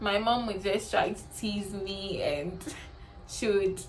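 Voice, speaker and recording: Audible room echo around a woman's voice of medium pitch. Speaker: beauty vlogger. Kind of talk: personal storytelling vlog. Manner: hesitant, with fillers.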